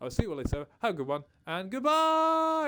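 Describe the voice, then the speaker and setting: The pace runs fairly quick. It belongs to a man. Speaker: gaming streamer. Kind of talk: live stream chat. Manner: fast.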